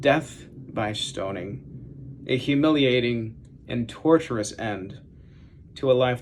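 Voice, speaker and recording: Vocal fry marks this voice at a very slow pace. Pitch varies in an ordinary way. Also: man. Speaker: seminary student preaching. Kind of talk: sermon.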